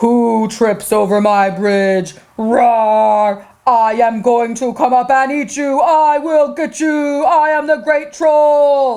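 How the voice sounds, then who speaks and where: Very slowly, a female-sounding voice performs a put-on character voice pitched high. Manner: menacing, roaring, gruff.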